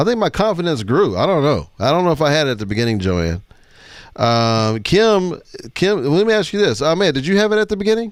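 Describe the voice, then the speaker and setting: A loud, animated man with a fairly high pitch, very wide pitch swings and a fairly quick pace, in a very clean recording with a silent background. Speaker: live show host. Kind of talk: casual panel chat.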